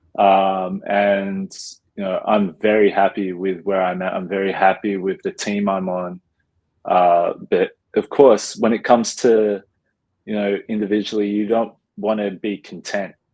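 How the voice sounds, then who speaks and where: A man with a fairly low voice talks at a fairly slow pace in a flat monotone. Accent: Australian. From Australia. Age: 20s. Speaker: professional basketball player. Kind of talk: interview. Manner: casual, many fillers.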